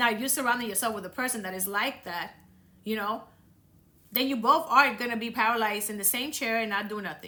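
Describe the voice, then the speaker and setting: Audible room echo around a bright, sharp tone. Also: woman. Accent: Dominican. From Dominican Republic. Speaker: podcast host. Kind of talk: motivational talk. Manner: casual, conversational.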